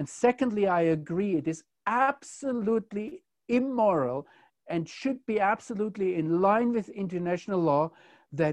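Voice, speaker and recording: A man talks with a German accent and lively intonation. His pace is moderate, and the background is quiet. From Germany. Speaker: commentator on Israel. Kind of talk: conversational discussion.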